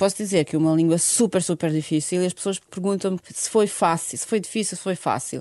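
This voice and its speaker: Woman with a Bosnian accent, medium pitch, dark, mellow tone, ordinary pitch variation, and a fairly quick pace. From Bosnia and Herzegovina, Sarajevo. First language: Bosnian (speaking Portuguese). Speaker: fado singer. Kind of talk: interview.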